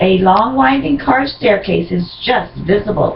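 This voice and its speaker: A woman talks at a fairly slow pace. There is noticeable background noise. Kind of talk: scene-setting narration, read aloud.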